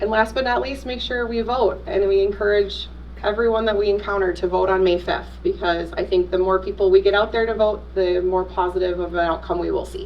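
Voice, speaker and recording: Talking at a fairly quick pace with hardly any pauses, a woman is heard over noticeable background noise. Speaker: school district communications presenter. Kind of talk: presentation to school board. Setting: public meeting. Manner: fast.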